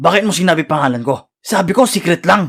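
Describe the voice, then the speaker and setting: A man's raspy, put-on character voice, high in pitch, with lively intonation at a moderate pace. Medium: cartoon. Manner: grumpy, impatient.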